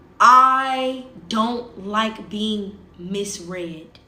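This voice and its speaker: A woman's fairly high voice with ordinary pitch variation, plus audible room echo. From US South. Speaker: social media livestreamer. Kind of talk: casual livestream chat.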